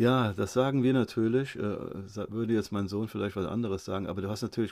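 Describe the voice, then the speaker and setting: With an ordinary speaking voice, a man talks at a fairly quick pace in a fairly low pitch and fairly even intonation. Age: 50s. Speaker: photographer and vlogger. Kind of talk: casual interview.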